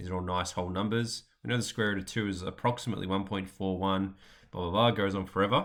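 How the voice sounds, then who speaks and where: The man's pitch is fairly low. He speaks at a very fast pace. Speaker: maths teacher. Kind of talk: educational explainer. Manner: casual, conversational.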